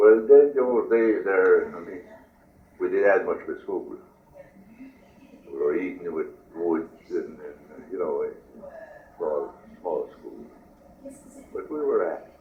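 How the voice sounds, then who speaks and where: A man at a very slow pace with long, frequent pauses and big swings in loudness, amid noticeable background noise and audible room echo. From New Brunswick, Acadian Canada. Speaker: war veteran. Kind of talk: oral history interview. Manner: halting.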